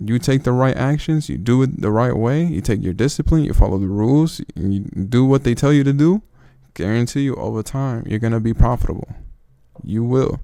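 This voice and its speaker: A man with a non-native accent at a fairly quick pace, medium pitch, ordinary pitch variation and a dark, mellow tone. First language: not English. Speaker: trading youtuber. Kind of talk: casual advice monologue. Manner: casual, slangy.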